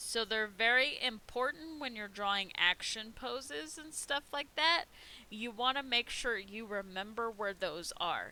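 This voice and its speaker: Bright and sharp in tone, a woman with an American accent speaks at a fairly slow pace with lively intonation and a fairly high pitch. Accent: Midwestern accent, comes out at times. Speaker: art teacher. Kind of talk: live art class tutorial. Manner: casual, chatty.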